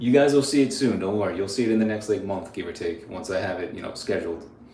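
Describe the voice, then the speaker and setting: Audible room echo around a man's voice of medium pitch. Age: 30s. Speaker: grooming youtuber. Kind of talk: live stream tutorial and Q&A. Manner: casual, animated.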